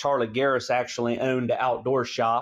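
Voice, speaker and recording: Against a quiet background, a man with an American accent talks at a fairly quick pace and medium pitch in a flat, monotone intonation. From Central Ohio. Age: 30s. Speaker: coonhound hunter. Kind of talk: interview.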